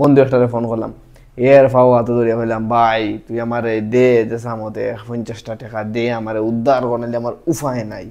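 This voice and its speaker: A man with a Sylheti accent speaks in a dark, mellow tone at medium pitch, his intonation monotone and flat. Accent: Sylheti Bengali. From Assam, India. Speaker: stand-up comedian. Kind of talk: casual stand-up comedy talk to camera.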